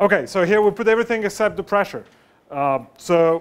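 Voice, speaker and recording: A loud voice with a French accent, speaking at a moderate pace with ordinary pitch variation. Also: man. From France. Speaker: professor. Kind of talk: lecture. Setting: lecture room with students, no mic. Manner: halting, many fillers; loud, raised voice to reach the back.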